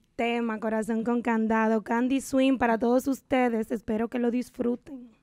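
A woman speaks at a high pitch and a fairly slow pace. The background is quiet. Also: dry sound with no echo. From Dominican Republic, Valverde province. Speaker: típico singer. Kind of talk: interview. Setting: radio studio. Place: studio. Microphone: studio mic.

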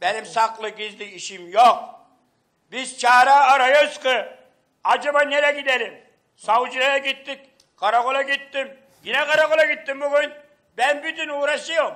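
A man projects a raised voice at an extremely high pitch, with a bright, sharp tone. His pace is moderate with ordinary pitch variation, and the background is quiet. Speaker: missing man's father. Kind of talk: heated debate. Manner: agitated. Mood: upset, defensive. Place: home room. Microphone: handheld.

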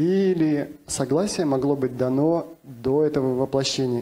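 A man's fairly high-pitched voice, dark and mellow in tone, at a moderate pace with very even loudness, fairly even intonation and hardly any pauses. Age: 40s. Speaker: channeler and self-described alien contactee; conference panelist. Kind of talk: panel discussion. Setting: conference stage with audience. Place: hall. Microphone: handheld.

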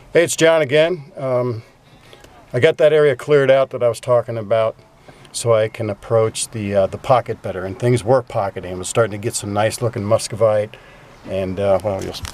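Talking at a fairly quick pace, a man shows ordinary pitch variation and big swings in loudness. The sound is dry, with no echo. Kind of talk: casual vlog chat. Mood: calm, mildly excited. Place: open country. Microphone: phone near.

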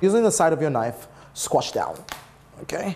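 Noticeable background noise sits under a man speaking at a moderate pace. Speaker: TV cooking show host. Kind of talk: tutorial. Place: kitchen. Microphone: lapel.

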